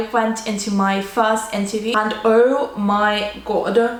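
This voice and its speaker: With a slight Russian accent, a woman speaks in a fairly high pitch amid noticeable background noise and audible room echo. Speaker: student vlogger. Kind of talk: casual storytelling vlog. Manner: casual, filler-heavy.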